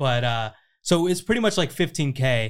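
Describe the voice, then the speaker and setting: On a very clean recording with a silent background, a man speaks at a medium pitch with an American accent. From Southern California (Riverside). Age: 20s. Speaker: podcast host and creator-marketing founder. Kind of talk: casual interview chat. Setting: at guest's house.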